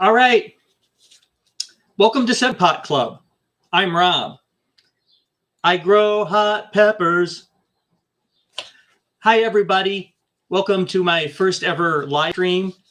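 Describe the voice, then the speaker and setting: At a very slow pace with long, frequent pauses, a man speaks in a high pitch with a bright, sharp tone and ordinary pitch variation. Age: 60s. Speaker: hot pepper grower and channel host. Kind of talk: casual livestream chat. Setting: home office livestream via webcam. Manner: hesitant, many filler words. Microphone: cheap webcam setup.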